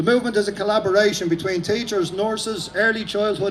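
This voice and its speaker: A man speaks with an Irish accent at a high pitch. Noticeable background noise runs behind him. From Ireland. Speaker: protest speaker, former police officer. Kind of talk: rally speech. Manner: fast; animated.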